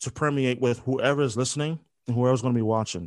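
A man with an American accent speaks at a fairly quick pace. His pitch variation is ordinary, and the background is quiet. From Philadelphia, US. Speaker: sports radio host. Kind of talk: interview.

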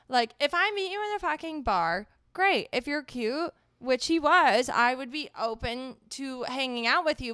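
At a moderate pace, a woman with a high pitch and a bright, sharp tone uses a raised, projected voice with very wide pitch swings, recorded very cleanly with a silent background and a dry, close sound with no echo. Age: 20s. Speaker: podcast co-host, healthcare worker. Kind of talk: casual chat.

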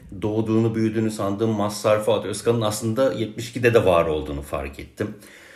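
The speaker is a man talking at a moderate pace. Room echo is audible around his voice. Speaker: music archivist and writer. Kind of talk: casual interview chat.

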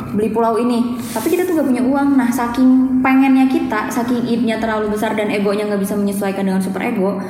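A woman talks at a very fast pace with hardly any pauses, her fairly high pitch showing ordinary variation. Noticeable background noise and audible room echo surround her voice. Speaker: psychology student. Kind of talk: casual explanatory chat.

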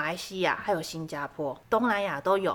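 With a medium pitch, a woman talks at a moderate pace. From southern Taiwan, Kaohsiung. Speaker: podcast co-host. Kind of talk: casual chat.

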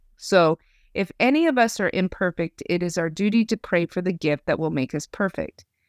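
In a normal speaking voice, a woman talks at a moderate pace with an American accent, medium pitch and lively intonation. The recording is very clean, dry and close with no echo, over a silent background. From Idaho. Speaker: podcast host. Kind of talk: faith podcast conversation.

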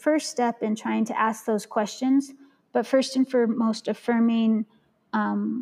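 A woman's dark, mellow tone at a fairly slow pace, with fairly even intonation. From Central Valley, California, US. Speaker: scholar and community worker. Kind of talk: casual chat. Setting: video call.

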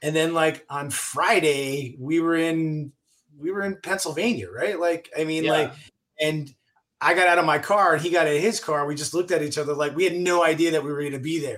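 A man with a normal speaking voice, fairly high pitch, fairly even intonation and a fairly quick pace. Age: 50s. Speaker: actor and executive producer. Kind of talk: casual chat.

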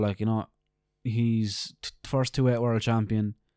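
A man with an Irish accent speaks at a fairly slow pace and medium pitch in a dark, mellow tone, in a very clean recording with a silent background and a dry, close sound with no echo. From Ireland. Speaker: podcast co-host, MMA fan. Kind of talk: casual chat.

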